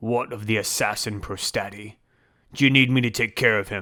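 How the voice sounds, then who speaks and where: Growling in a put-on character voice, a man speaks at medium pitch and a moderate pace with fairly even intonation. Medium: read story. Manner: curt, deferential.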